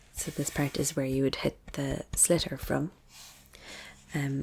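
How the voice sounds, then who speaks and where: A soft-spoken voice in an Irish accent at a very slow pace. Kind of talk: ASMR educational talk to camera.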